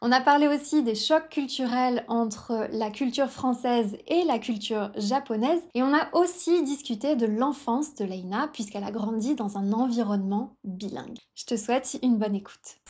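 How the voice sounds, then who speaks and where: At a moderate pace and with hardly any pauses, a woman talks in a high voice with ordinary pitch variation. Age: 30s. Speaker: French teacher and podcast host. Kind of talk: podcast intro and interview.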